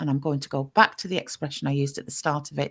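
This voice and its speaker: Here a woman speaks with an English accent. The recording is very clean, with a silent background. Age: 50s. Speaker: podcast host. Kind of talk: casual chat.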